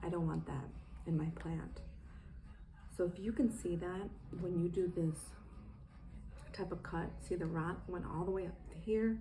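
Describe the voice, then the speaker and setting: Whispering at a moderate pace with long, frequent pauses, a woman is heard with audible room echo. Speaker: plant care vlogger. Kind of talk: tutorial.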